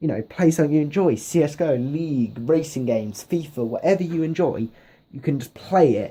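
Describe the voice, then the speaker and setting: With a British accent and a dark, mellow tone, a man talks at a moderate pace in a fairly high pitch with ordinary pitch variation. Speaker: gaming YouTuber. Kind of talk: casual vlog talk to camera. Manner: rambling with many fillers.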